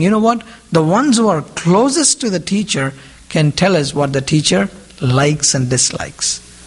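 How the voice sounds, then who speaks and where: Animated in tone, a man speaks at a high pitch with very wide pitch swings against noticeable background noise. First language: Indian regional language (mother tongue). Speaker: lay preacher. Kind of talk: sermon. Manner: animated, rhetorical questions.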